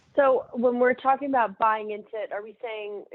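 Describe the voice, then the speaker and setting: Her voice is pitched fairly high, and this woman uses ordinary pitch variation. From Los Angeles, US. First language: Armenian. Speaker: nonprofit founder. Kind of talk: interview.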